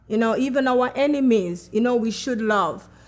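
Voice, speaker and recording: Speaking with a Jamaican accent, a woman has a high pitch. Her pitch variation is ordinary. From Jamaica, Kingston. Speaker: chef and personal support worker. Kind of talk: testimony.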